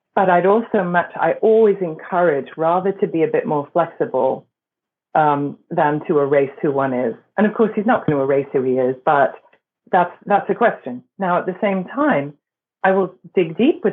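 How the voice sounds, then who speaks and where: Here a woman speaks with a fairly low pitch. Her intonation is lively and her pace moderate. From England and Berkeley, California. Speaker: voice and performance coach. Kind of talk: interview.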